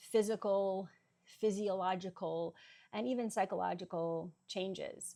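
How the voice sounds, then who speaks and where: Against a quiet background, a dark, mellow voice speaks at a fairly slow pace with fairly even intonation. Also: woman. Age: 40s. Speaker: fitness vlogger. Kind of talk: vlog monologue. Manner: hesitant, many fillers.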